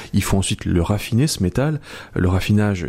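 At a fairly quick pace, a man with a very deep, low pitch and a dark, mellow tone speaks with lively intonation. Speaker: journalist and author. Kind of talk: radio interview.

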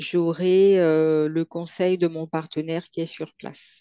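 A woman speaks very slowly in a fairly low, dark and mellow tone. Her intonation is monotone and flat, and the sound is dry and close with no echo. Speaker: consultant and entrepreneur. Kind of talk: interview.

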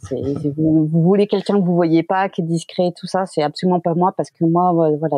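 A woman talks at a moderate pace in a fairly low voice. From Quebec. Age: 40s. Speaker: wedding photographer. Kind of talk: casual interview. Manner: energetic, animated.

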